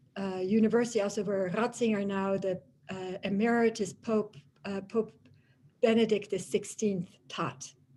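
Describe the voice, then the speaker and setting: With a Dutch accent, a woman speaks at a moderate pace and medium pitch. Her tone is dark and mellow, her intonation fairly even. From Germany (Tübingen), Dutch family. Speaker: professor of religious studies. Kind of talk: lecture. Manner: many hesitations and fillers.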